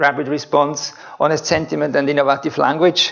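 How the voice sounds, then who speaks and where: A man speaks with a Swiss German accent. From Switzerland. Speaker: researcher. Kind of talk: lecture.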